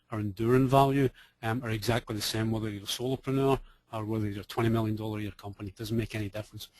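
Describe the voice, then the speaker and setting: A man with a Scottish accent speaks at medium pitch, sounding somewhat breathy. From Scotland. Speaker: business coach. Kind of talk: webinar presentation. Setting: online webinar. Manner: casual, conversational with fillers.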